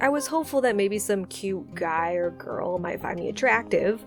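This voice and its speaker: Music can be heard behind the speaker. She is a woman talking over it. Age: 20s. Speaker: animated storytime creator. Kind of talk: storytime narration.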